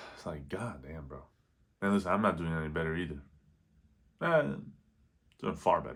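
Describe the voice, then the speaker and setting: A man with a very deep, low voice and vocal fry talks at a fairly quick pace, with ordinary pitch variation. Long, frequent pauses break it up, and his loudness swings widely. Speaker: vlogger. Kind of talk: casual vlog monologue. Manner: quiet, held back so roommates next door won't hear; rambling, halting, loses train of thought.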